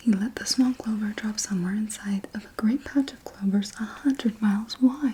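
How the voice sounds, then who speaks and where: Whispering and soft-spoken at a moderate pace, the voice has hardly any pauses and big swings in loudness over noticeable background noise. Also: woman. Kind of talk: children's book reading, rhyming verse. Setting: studio, close microphone. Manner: soft-spoken, whispered.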